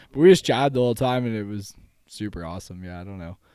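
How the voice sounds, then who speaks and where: A man with a western Canadian accent, on a very clean recording with a silent background. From western Canada, Langley BC. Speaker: spinal injury survivor. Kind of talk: casual chat. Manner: animated.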